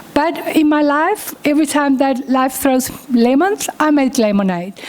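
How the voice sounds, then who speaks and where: Against noticeable background noise, a woman with a non-native accent and a high pitch speaks at a fairly slow pace, with lively intonation and very even loudness. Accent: foreign accent, noticeable. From Uruguay. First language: Spanish. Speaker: chartered accountant and professor. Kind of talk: keynote talk.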